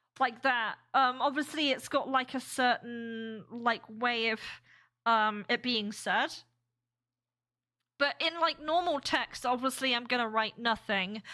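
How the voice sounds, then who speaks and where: Recorded very cleanly against a silent background, a woman with an American accent speaks fairly slowly in a high, bright, sharp voice with ordinary pitch variation. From UK. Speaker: game developer streamer. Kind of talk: casual live stream chat. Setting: live stream. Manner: halting, many fillers.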